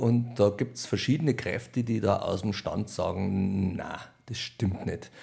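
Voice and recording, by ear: A man's low-pitched voice with vocal fry, slow pace and ordinary pitch variation. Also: slightly mellow tone, very clean recording, silent background.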